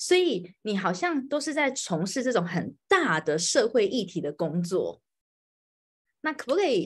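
Very wide pitch swings in a somewhat breathy voice at a fairly slow pace, against a quiet background. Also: woman, fairly high pitch for a woman. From Taiwan. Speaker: podcast host. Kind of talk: live-streamed interview. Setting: home, live stream, hiding in bedroom. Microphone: video call.

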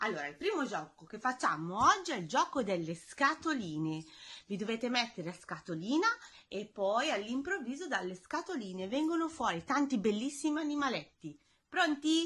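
Very wide pitch swings mark a woman's speech, delivered at a moderate pace. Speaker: gym instructor for children. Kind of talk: instructions to children. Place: home room. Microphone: phone near.

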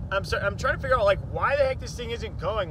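The man's voice sounds dry with no echo, over noticeable background noise. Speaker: vlogger. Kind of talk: casual vlog chat. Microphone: phone near.

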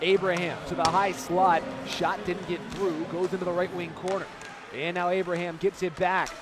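This man's high voice moves at a moderate pace in a monotone, flat intonation, with a dry sound lacking any echo and noticeable background noise. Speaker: hockey play-by-play announcer. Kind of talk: live commentary. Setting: arena broadcast of hockey game. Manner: voice surges and rings out on goals.

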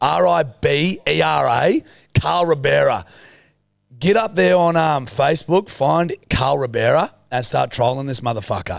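A man talks with an Australian accent. The background is quiet. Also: fairly slow pace. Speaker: podcast co-host. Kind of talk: casual chat. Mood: joking, crude humour. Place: studio. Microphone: studio mic.

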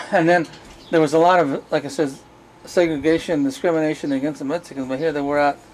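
With light background noise behind him, a man talks at a very fast pace with fairly even intonation. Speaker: oral history interviewer. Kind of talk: oral history interview. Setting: on location at interviewees' home. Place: street. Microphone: camera far.

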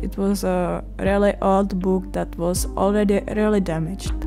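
Speaking at a very slow pace in a Czech accent, a woman is heard with music in the background. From Czech Republic. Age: young. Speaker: art student. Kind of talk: art vlog voiceover.

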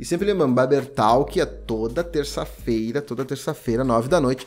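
With faint music in the background, a man talks in an animated tone with lively intonation. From Brazil. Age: 20s. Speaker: barber and YouTube educator; barber youtuber. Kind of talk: casual YouTube Q&A monologue. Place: home room.

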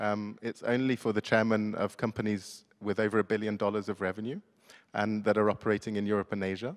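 A man talks at a very fast pace in a fairly low pitch with monotone, flat intonation. The background is quiet. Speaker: founder of business dialogue initiative. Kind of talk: formal speech. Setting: stage with audience. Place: hall. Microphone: handheld.

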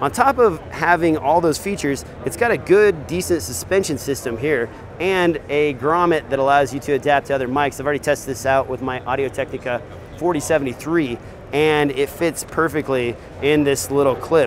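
Over music in the background, a man talks at a fairly quick pace, the sound dry with no echo. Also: ordinary pitch variation. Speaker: video gear reviewer. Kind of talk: product review commentary. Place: hall.

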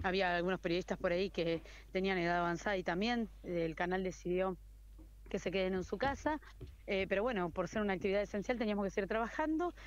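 A woman talks at a very fast pace and a medium pitch. The background is quiet. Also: ordinary pitch variation, very even loudness. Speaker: TV news reporter. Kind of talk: interview.

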